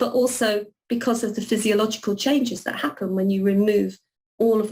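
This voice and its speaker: This woman's voice is somewhat breathy, with a dark, mellow tone, ordinary pitch variation and a London accent. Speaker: renal nurse and nursing academic. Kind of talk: webinar presentation. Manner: hesitant with many fillers and repeats.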